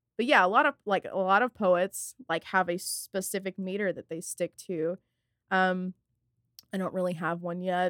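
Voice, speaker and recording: Recorded very cleanly with a silent background and a dry, close sound with no echo, a woman with an American accent talks in an ordinary speaking voice at a medium pitch and moderate pace, with fairly even intonation. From rural North Texas near Fort Worth. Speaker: music journalist and poet. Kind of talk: casual interview.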